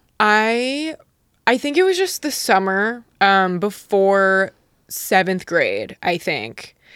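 A woman's fairly high voice, very slow pace and lively intonation. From Utah. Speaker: YouTuber. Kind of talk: casual chat. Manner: blunt, understated delivery.

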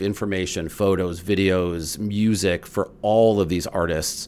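A man speaks in an ordinary speaking voice. His pitch sits fairly low, and his pace is fairly slow. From Chicago area, US Midwest. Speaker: food and drink journalist. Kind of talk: casual chat.

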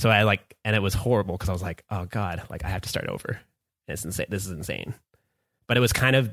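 In a very clean recording with a silent background, a man with a bright, sharp tone and fairly low pitch talks very fast, his pitch varying in an ordinary way. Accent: western Canadian. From Canada, Vancouver area. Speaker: music producer. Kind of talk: casual chat.

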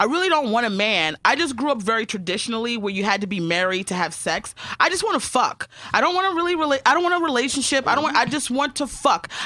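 A woman's high-pitched, animated voice at a very fast pace, with very wide pitch swings and noticeable background noise. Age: 30s. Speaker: comedian. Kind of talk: casual chat.

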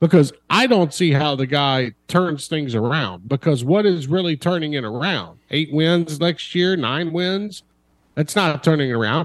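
A plain, everyday voice from a man, fairly high-pitched, at a fairly slow pace with lively intonation. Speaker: college football reporter. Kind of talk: casual sports talk interview.

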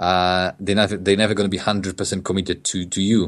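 With a Polish accent, the speaker goes at a fairly quick pace against a quiet background. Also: man. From Poland. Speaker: e-commerce business founder. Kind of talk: interview. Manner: halting, many repetitions.

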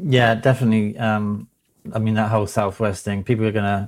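Someone with a British accent speaks at a fairly quick pace with fairly even intonation. The recording is very clean, with a silent background. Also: man. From Britain. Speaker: magazine editor. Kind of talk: casual chat.

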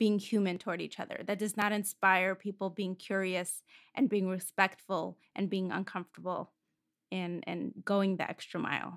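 The speaker has a Russian accent and a monotone, flat delivery at a moderate pace. The recording is very clean, with a silent background. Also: woman. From Moscow, Russia. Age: 20s. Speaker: podcast host, singer and music producer. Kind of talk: interview conversation.

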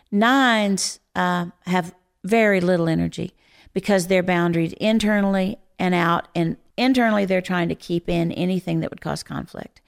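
A woman talks at a moderate pace in an ordinary speaking voice. Her pitch is medium, with fairly even intonation. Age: 60s. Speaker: Enneagram teacher and author. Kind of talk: podcast interview.

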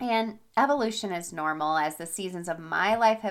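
In a very clean recording with a silent background, a woman with a medium pitch speaks at a moderate pace in an animated tone, her pitch varying in an ordinary way. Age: 40s. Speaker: habit and fitness coach, podcast host. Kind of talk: solo podcast monologue with product pitch.

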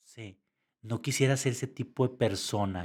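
The recording is very clean, with a silent background. A man of medium pitch speaks in an ordinary speaking voice with ordinary pitch variation. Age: 50s. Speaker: entrepreneur and lighting designer. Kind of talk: casual interview chat.

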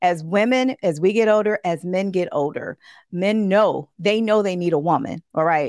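A woman speaks at a moderate pace with an animated tone. Her intonation is lively over a quiet background. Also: dry, close sound with no echo. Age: 40s. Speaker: relationship coach. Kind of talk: interview.

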